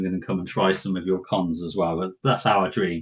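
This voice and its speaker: A man with a British accent speaks in a very deep, low voice. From southwest England. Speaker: podcast host, board game enthusiast. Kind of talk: casual chat. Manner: relaxed, informal.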